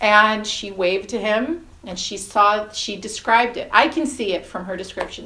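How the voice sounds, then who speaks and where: Ordinary pitch variation with an American accent, over noticeable background noise. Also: woman. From New York. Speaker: hypnotherapist. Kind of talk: interview.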